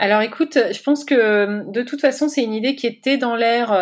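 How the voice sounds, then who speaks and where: Recorded very cleanly against a silent background, a woman with an unremarkable speaking voice talks at a moderate pace with ordinary pitch variation. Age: 40s. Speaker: entrepreneur, founder of burnout retreats. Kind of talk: interview conversation.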